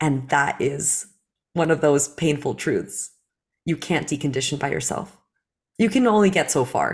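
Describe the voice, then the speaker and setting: A woman's very deep, low voice, somewhat breathy, with lively intonation, a moderate pace and long, frequent pauses on a very clean recording with a silent background. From New Jersey, US (born in Belarus). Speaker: facilitator and company co-founder. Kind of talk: interview.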